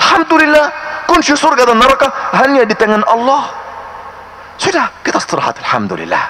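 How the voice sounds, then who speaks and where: Over noticeable background noise, a man talks very fast in a raised, projected voice with an extremely high pitch and ordinary pitch variation. His tone is animated, broken by long, frequent pauses. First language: Arabic (speaking Indonesian). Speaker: Islamic preacher. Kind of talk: religious lecture. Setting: mosque. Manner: animated, rhetorical questions.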